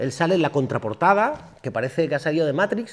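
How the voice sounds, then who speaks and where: A man with a fairly high pitch races along at a very fast pace. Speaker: singer and actor. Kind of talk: public talk interview. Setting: university auditorium with audience. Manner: animated.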